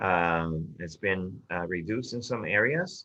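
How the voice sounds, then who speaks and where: Very slowly, a man speaks at a very deep, low pitch with ordinary pitch variation. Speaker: city staff member presenting report. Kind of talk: public meeting presentation. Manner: hesitant, many fillers.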